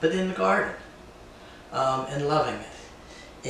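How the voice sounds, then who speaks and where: A man talks at a fairly slow pace with a fairly high pitch and ordinary pitch variation. Noticeable background noise and audible room echo are present. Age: 60s. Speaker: woodworker and retreat host. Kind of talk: casual workshop vlog narration. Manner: halting, many filler words.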